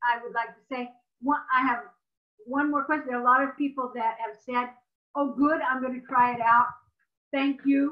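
The speech comes at a moderate pace in monotone, flat intonation, broken by long, frequent pauses. The background is quiet. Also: woman, high pitch for a woman. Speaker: webinar moderator. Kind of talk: webinar moderation. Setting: video call. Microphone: video call.

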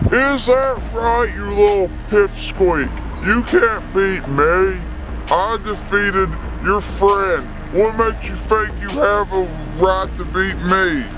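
Over loud background noise, a man does a put-on character voice at a fairly slow pace. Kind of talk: comic overacting. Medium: comedy sketch. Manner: menacing, taunting, crude.

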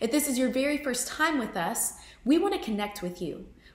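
Fairly quick speech from a woman in a room with audible echo. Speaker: associate pastor. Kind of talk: church service welcome and announcements. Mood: warm, welcoming. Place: home room.

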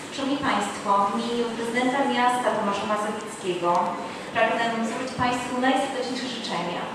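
Talking at a fairly quick pace, a woman is heard with strong room echo and noticeable background noise. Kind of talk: formal ceremonial speech. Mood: warm, celebratory. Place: hall.

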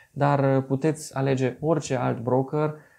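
Using a dark, mellow tone, a man speaks at a fairly high pitch with fairly even intonation. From Romania, Târgu Mureș; Romania. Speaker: investing video blogger. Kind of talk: tutorial. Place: office. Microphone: camera far.

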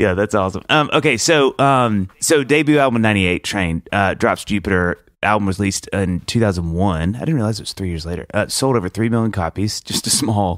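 In a plain, everyday voice, a man with a fairly low pitch speaks at a fairly quick pace with hardly any pauses and lively intonation, the sound dry and close with no echo on a very clean recording with a silent background. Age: 40s. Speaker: podcast host. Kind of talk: casual comedic chat. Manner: jokey, laughs often.

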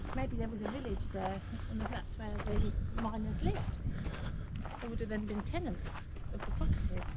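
The delivery moves at a fairly quick pace. Loud background noise fills the recording. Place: open country. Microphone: phone near.

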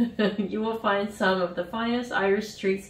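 The reading aloud is plain, its intonation fairly even.

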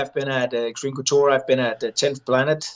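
A man's medium-pitched voice with a Danish accent and ordinary pitch variation, over a quiet background. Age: 30s. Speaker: Olympic wrestler turned MMA fighter. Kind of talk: casual interview. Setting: video call from hotel. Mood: relaxed, upbeat. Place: home room. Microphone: video call.

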